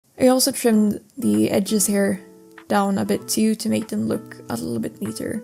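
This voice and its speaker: Over background music, a woman talks at a moderate pace. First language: not English. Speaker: mask maker. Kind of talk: craft tutorial voice-over.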